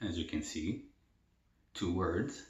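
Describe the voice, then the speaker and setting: A man speaks very slowly, with audible room echo around him. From El Salvador. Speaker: mukbang youtuber. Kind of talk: casual Q&A while eating. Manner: casual, filler-heavy.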